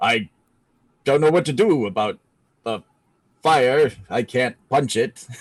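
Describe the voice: Doing a booming put-on character voice, a man uses lively intonation at a medium pitch and a fairly slow pace, with long, frequent pauses and a dry, close sound with no echo.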